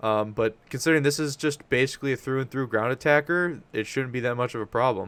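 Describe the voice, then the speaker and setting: A medium-pitched male voice at a fairly quick pace with ordinary pitch variation, on a very clean recording with a silent background. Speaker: gaming YouTuber. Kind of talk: game commentary. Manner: animated; casual with fillers.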